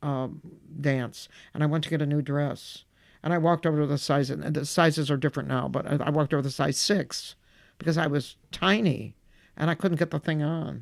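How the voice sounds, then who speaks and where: In a Midwestern accent, a woman with a very deep, low pitch talks at a fairly quick pace with fairly even intonation. The recording is very clean, with a silent background. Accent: American Midwest. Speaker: stand-up comedian. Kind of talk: interview answer.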